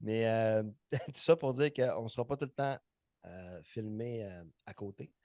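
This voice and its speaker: Recorded with a dry, close sound and no echo, a man with a medium pitch and dark, mellow tone speaks at a fairly slow pace, with ordinary pitch variation, big swings in loudness and long, frequent pauses. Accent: Saguenay. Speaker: personal trainer and podcast co-host. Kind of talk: casual chat.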